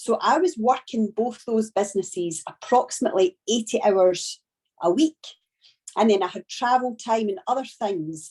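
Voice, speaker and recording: The speaker has a strong Scottish accent and lively intonation at a moderate pace. The sound is dry and close, with no echo. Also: woman, fairly high pitch for a woman. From Scotland. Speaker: network marketing trainer. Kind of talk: training talk. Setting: video call.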